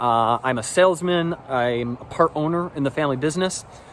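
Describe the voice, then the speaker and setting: Here a man has an ordinary speaking voice with an American accent. He keeps a moderate pace and ordinary pitch variation. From US Midwest, West Michigan. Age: 30s. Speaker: salesman. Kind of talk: audition video, casual self-introduction. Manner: casual, filler-heavy.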